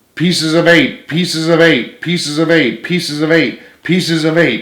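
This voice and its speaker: A man puts on a shrill, robotic character voice, pitched high for a man. He talks at a moderate pace, and there is audible echo. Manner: repeating mechanically without pause.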